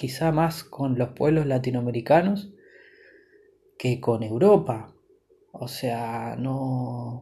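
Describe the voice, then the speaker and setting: Very slowly and somewhat breathily, a speaker with an Argentine accent talks in a dark, mellow tone with ordinary pitch variation. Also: man. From Buenos Aires, Argentina. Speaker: podcaster. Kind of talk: personal monologue. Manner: halting, many repetitions and fillers.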